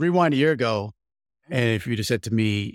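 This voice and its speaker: A man's medium-pitched voice with lively intonation and vocal fry, dry and close with no echo, on a very clean recording with a silent background. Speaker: podcast host. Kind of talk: casual chat.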